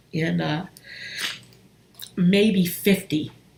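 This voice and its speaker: A woman's medium-pitched voice at a very slow pace. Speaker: relationship coach and healer. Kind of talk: personal testimony on a live stream. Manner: halting.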